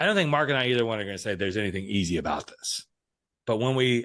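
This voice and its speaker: A man speaks in an ordinary speaking voice at a medium pitch. His intonation is lively. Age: 60s. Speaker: podcast host and life coach. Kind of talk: casual interview conversation.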